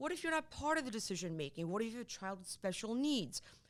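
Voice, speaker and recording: A woman's bright, sharp tone with very wide pitch swings and a Polish accent. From Poland. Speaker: divorce lawyer. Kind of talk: interview.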